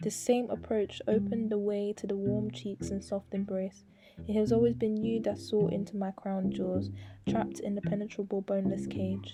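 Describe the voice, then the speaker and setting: A woman's moderate pace carries over music in the background. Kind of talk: spoken word poem; poetry reading.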